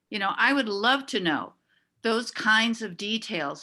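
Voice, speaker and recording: Against a quiet background, a woman speaks in a bright, sharp tone. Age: 70s. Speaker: public commenter at council meeting. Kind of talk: public comment. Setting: city council meeting. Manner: halting, many fillers.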